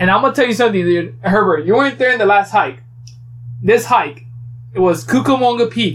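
Over noticeable background noise, the speaker talks at a fairly quick pace with very wide pitch swings and very even loudness. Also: man, high pitch for a man. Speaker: podcast host. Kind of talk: casual chat.

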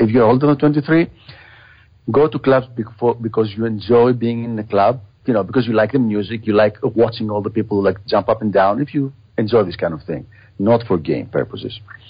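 A man with a Greek accent talks at a fairly quick pace, sounding somewhat breathy. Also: medium pitch for a man, ordinary pitch variation. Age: 40s. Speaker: podcast host. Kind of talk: interview.

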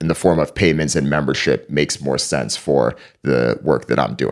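Vocal fry marks this man's very deep, low voice with an American accent. He keeps a moderate pace and ordinary pitch variation. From Connecticut, US (East Hartford), Jamaican parents. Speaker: media company founder, journalist. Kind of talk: interview.

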